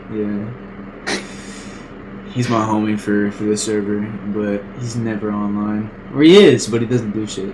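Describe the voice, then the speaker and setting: A man's fairly low, flat, monotone voice with long, frequent pauses, audible room echo and noticeable background noise. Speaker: podcast host. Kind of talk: casual chat. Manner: fast.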